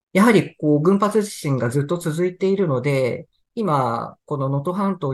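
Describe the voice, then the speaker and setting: At a fairly slow pace, a somewhat breathy voice moves with lively intonation over a quiet background. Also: man. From Tohoku, Sendai, Japan. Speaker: newspaper reporter. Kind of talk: interview about news reporting.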